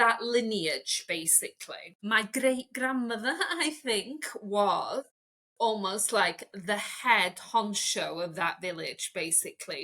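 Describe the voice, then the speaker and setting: Lively intonation marks this woman's fairly high voice. She speaks with a Welsh accent. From Wales. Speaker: stylist and transformation coach. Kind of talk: interview conversation.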